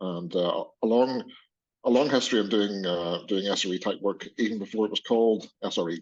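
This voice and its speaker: In a quiet background, a man speaks with a strong Northern Irish accent at a fairly quick pace. His pitch is fairly low, with ordinary variation. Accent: Northern Irish, somewhat heavy. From Northern Ireland. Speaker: engineering manager. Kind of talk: panel discussion. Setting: webinar.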